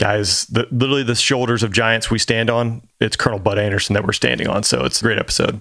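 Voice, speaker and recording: This speaker, with an American accent, talks at a very fast pace with fairly even intonation and vocal fry. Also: man. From Georgia, US South. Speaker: former fighter pilot co-host. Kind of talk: casual chat.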